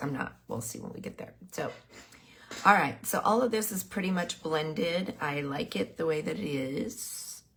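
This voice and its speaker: This woman's fairly low voice swings very widely in pitch. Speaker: painting instructor. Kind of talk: tutorial. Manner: casual, with pauses.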